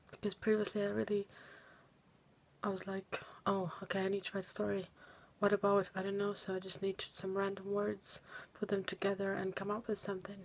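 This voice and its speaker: The speaker, who has a non-native accent, moves at a fairly quick pace but takes long, frequent pauses. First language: not English. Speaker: student making a video dissertation. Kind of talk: video diary. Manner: halting.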